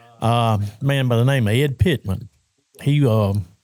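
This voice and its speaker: With a Louisiana accent, the speaker goes at a fairly slow pace with ordinary pitch variation. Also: man. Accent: Louisiana Southern US. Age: 70s. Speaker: fishing tournament founder. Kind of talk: casual chat.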